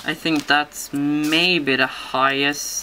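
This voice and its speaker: In a non-native accent, a woman speaks at a very deep, low pitch with monotone, flat intonation. Noticeable background noise sits behind her. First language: not English. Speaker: papercraft tutorial maker. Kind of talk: tutorial. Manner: halting, many fillers.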